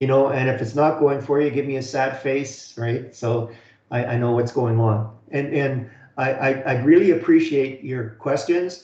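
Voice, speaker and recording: Spoken with an Alabama-free Canadian accent is wrong; rather: With a Canadian accent, the speech has fairly even intonation and audible room echo. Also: man, medium pitch for a man. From Canada. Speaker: college instructor. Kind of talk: online lecture. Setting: video call webinar. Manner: fast; halting, many fillers and repeats.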